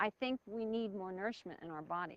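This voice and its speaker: With an American accent, a woman at a medium pitch talks at a moderate pace with lively intonation in a dry, close sound with no echo. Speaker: reality show contestant. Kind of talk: interview. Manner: loud.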